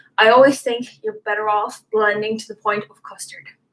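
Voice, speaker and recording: This woman has a fairly high pitch and an unremarkable speaking voice. She keeps a moderate pace. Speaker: soap making tutor. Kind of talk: tutorial.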